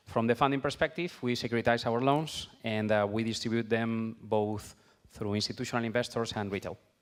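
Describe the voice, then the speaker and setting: A man at medium pitch, talking at a fairly quick pace with fairly even intonation. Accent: Spanish. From Spain. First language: Spanish. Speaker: fintech company founder. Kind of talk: panel discussion.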